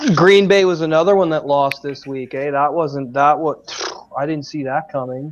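With mostly level intonation, an ordinary speaking voice goes at a medium tempo. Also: man, fairly high pitch for a man. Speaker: podcast host. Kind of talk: casual chat.

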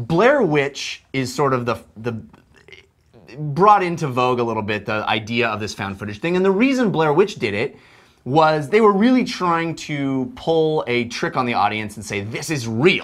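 Pitch rises and falls very widely as he talks at a moderate speed. Nothing else can be heard behind him. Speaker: film review show host. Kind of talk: commentary. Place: studio. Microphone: lapel.

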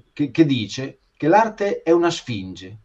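A man with lively intonation against a quiet background. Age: 50s. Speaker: art teacher and author; art teacher. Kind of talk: interview. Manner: halting. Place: home room. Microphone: video call.

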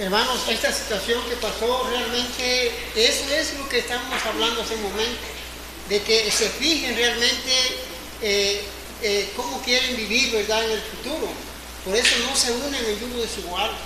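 A man talks at a moderate pace amid loud background noise and audible room echo. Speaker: preacher. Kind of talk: sermon. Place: church. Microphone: camera far.

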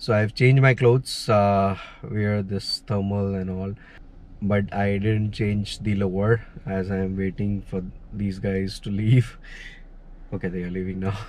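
Against light background noise, a man talks in a monotone, flat intonation at a fairly low pitch, the sound dry with no echo. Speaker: travel vlogger. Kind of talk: casual vlog chat. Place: car. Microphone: phone near.

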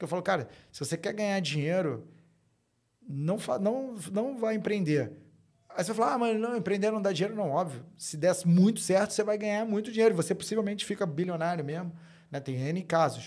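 A man talks at a fairly quick pace. His voice is high-pitched with ordinary pitch variation. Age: 40s. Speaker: fintech co-founder and tech executive. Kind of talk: interview, casual chat. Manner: casual, frequent fillers and repetitions.

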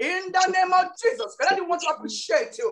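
Speaking at a moderate pace over light background noise, a woman uses an extremely high pitch. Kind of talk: fervent prayer. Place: home room. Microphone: video call.

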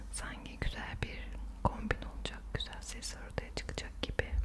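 Loud background noise nearly competes with a woman talking at a fairly slow pace. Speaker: ASMR creator. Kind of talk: ASMR talk to camera. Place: home room.

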